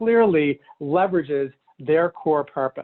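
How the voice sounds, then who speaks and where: Lively intonation marks this voice. It belongs to a man. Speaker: business coach for healthcare practice owners. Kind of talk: business training talk. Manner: fast; animated.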